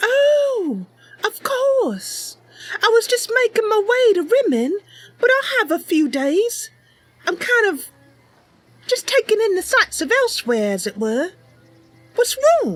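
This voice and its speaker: In a put-on character voice, the speaker goes at a fairly slow pace with long, frequent pauses. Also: woman, extremely high pitch for a woman. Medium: game stream. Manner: earnest, eager, friendly.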